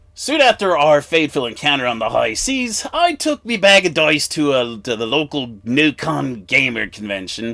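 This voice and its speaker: Someone performs a put-on character voice at a moderate pace with hardly any pauses. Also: man, fairly high pitch for a man. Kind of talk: humorous product review in character.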